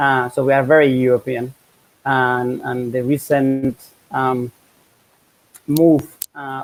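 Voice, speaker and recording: Speaking in a Spanish accent, a man at medium pitch holds a flat monotone. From Spain. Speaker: professor. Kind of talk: interview.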